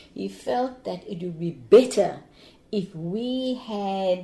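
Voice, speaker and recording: A woman talks at a very slow pace with a dark, mellow tone and medium pitch. Her intonation is lively and her voice is somewhat breathy. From Cape Town, South Africa. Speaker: anti-apartheid activist, retired teacher. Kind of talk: interview answer.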